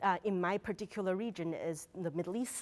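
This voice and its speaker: At a fairly quick pace, a woman speaks at a medium pitch in a Mandarin accent. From China. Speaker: academic researcher. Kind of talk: interview. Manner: halting, with fillers.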